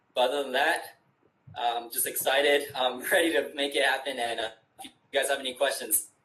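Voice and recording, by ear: A man's bright, sharp, medium-pitched voice, fairly quick and fairly even in intonation, with audible room echo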